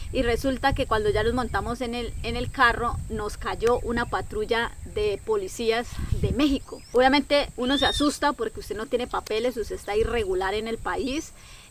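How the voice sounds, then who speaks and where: Someone with a Colombian accent speaks at a moderate pace in an animated tone over noticeable background noise. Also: woman, high pitch for a woman, lively intonation. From Colombia, Caquetá. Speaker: travel content creator. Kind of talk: personal storytelling vlog.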